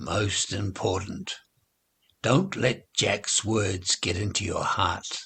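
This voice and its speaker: Putting on a growling character voice, a man speaks at a very slow pace with a fairly low pitch. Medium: read story. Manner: friendly, gentle.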